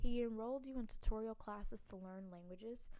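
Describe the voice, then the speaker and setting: With an American accent, a woman speaks at a medium pitch and moderate pace with fairly even intonation, and room echo is audible. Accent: shifts toward New York when reading. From US South. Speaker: gamer playing interactive fiction. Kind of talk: reading aloud with casual commentary. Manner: halting, with stumbles while reading.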